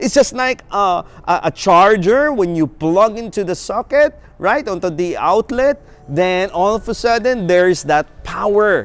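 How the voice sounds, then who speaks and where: Against noticeable background noise, a man speaks at a fairly slow pace with a high pitch and lively intonation. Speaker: preacher. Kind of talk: sermon. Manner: halting.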